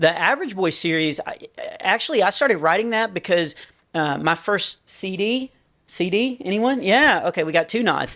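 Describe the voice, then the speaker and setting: A man with a high-pitched voice speaks in a raised, projected way at a moderate pace. His tone is bright and sharp, with lively intonation. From small town. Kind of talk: casual interview chat.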